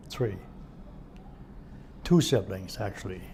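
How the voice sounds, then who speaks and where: Noticeable background noise and audible room echo surround a man with a fairly low pitch. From Germany (Hamburg area). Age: 70s. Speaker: war eyewitness. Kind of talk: oral history interview.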